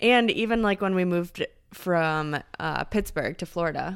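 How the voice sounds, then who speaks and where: A woman's fairly low, fairly slow voice with ordinary pitch variation, an ordinary speaking voice, on a very clean recording with a silent background. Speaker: co-host. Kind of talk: casual chat.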